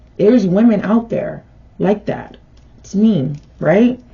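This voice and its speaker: A woman talks at a fairly slow pace with ordinary pitch variation. Background noise is noticeable. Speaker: tarot reader. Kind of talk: direct-to-camera vlog. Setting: on camera.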